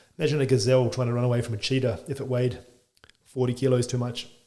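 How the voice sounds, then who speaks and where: With an Australian accent, a man talks at a very fast pace. His tone is dark and mellow, and somewhat breathy. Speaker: chiropractor. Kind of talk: podcast interview.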